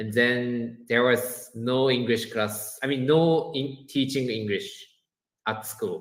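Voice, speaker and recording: Fairly even intonation at a very slow pace. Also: man, medium pitch for a man. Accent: Japanese. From Japan. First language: Japanese. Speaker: education business owner, former teacher. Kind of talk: podcast interview. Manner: halting, many fillers.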